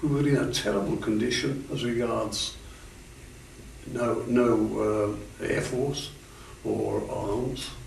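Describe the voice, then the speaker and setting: A man speaking at a very slow pace with long, frequent pauses, amid noticeable background noise and audible room echo. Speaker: war veteran. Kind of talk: interview. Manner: halting.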